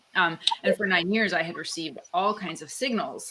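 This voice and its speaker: Against noticeable background noise, a woman with a Canadian accent speaks at a moderate pace. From Canada. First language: Italian. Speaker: author and guest. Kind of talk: casual interview chat. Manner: animated, filler-heavy.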